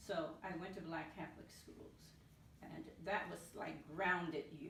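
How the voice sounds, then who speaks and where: With an American accent, a woman talks at a moderate pace with ordinary pitch variation, and audible room echo surrounds her voice. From US South, New Orleans. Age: 70s. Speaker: retired NASA mathematician. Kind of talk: interview. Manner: halting, with repetitions.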